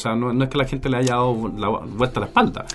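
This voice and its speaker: Noticeable background noise surrounds this recording. A man talks at a very fast pace. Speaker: podcast host. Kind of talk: casual interview. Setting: studio.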